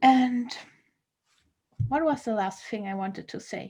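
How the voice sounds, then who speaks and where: A woman's fairly high-pitched, dark, mellow voice in a German accent, with big swings in loudness and long, frequent pauses. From Germany. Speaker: comedian. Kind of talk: workshop talk. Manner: casual, hesitant with fillers.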